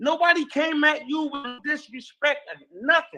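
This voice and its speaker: A man projects a raised voice with a bright, sharp tone at an extremely high pitch. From New York City. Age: 50s. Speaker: podcast host. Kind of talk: heated debate. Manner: animated.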